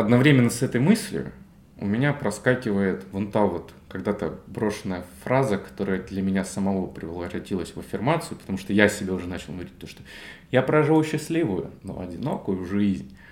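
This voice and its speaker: A man's plain, everyday voice at a fairly low pitch, with lively intonation, big swings in loudness and a fairly quick pace. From Russia, Belgorod. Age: 20s. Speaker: podcast co-host, digital marketer. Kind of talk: casual chat.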